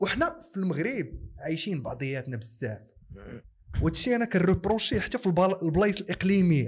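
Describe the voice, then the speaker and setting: A man's high-pitched voice with very wide pitch swings. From Morocco, Casablanca. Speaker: content creator; podcast guest. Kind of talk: podcast interview. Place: studio. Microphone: studio mic.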